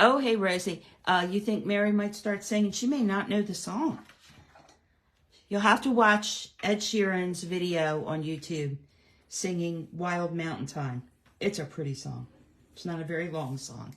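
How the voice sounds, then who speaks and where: In a normal speaking voice, a woman talks at a fairly slow pace and medium pitch with lively intonation. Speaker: card-making demonstrator. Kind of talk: live craft tutorial. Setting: livestream. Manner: chatty, many fillers.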